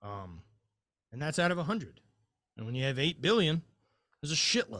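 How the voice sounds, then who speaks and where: Very wide pitch swings mark this man's speech in an American accent. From Louisiana, US South. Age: 40s. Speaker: former highland games athlete, mindset coach. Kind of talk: casual chat.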